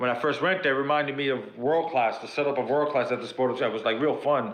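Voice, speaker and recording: Talking at a very fast pace, a man with a fairly high pitch keeps his intonation fairly even, with audible room echo. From New York City (South Bronx). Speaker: pro wrestler. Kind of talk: podcast interview.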